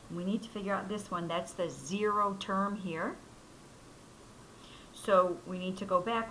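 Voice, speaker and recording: A woman speaks at a medium pitch and a moderate pace in a bright, sharp tone, her intonation flat and monotone, with long, frequent pauses and audible room echo around her. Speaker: math teacher. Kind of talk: tutorial.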